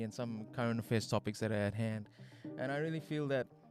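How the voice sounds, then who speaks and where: Over music in the background, a man at a medium pitch talks at a very fast pace. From Australia. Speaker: podcast host. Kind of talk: casual podcast commentary. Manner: rambling, hesitant.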